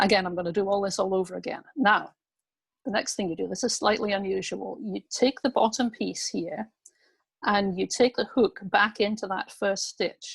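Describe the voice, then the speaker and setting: With vocal fry and a dry, close sound with no echo, a woman speaks at a moderate pace at a medium pitch with ordinary pitch variation. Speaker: craft instructor. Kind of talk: tutorial.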